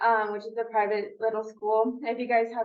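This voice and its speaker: With noticeable background noise behind her, a woman speaks fairly quickly at a fairly high pitch. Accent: Spanish. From California, Mexican-American family. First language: Spanish. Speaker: paralegal. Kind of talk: career talk to students. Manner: hesitant, many fillers.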